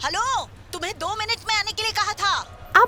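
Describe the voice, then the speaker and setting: Against clear background noise, a put-on character voice speaks at a moderate pace with an extremely high pitch. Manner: shouting, impatient.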